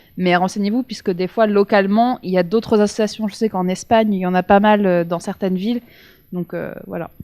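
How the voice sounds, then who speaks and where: A woman's dark, mellow voice at a fairly quick pace, with a dry, close sound, no echo, and a very clean recording with a silent background. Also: medium pitch for a woman, fairly even intonation. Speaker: former exchange student. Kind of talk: panel testimony.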